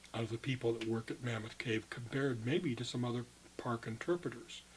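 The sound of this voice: A man speaks at a medium pitch and a moderate pace. His tone is slightly mellow.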